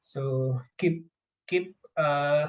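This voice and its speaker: A somewhat breathy male voice, fairly high in pitch, with fairly even intonation. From India, Gujarat. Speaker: software engineer, podcast guest. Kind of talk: casual chat.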